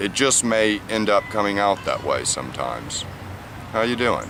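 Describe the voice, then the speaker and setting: Over noticeable background noise, a man with an American accent talks at a fairly low pitch with ordinary pitch variation. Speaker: ESL teacher. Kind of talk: tutorial. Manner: slow; clear, deliberate.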